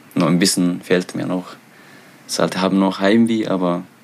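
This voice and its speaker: A man with a very deep, low pitch, ordinary pitch variation and a fairly slow pace, over noticeable background noise. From Eritrea. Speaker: author and refugee. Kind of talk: interview. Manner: halting.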